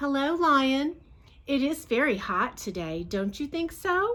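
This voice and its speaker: A woman's put-on character voice, high-pitched, fairly slow, with very wide pitch swings. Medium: read story. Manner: sly.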